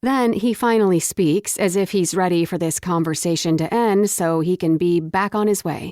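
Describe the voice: The pitch moves in an ordinary way through this plain reading aloud.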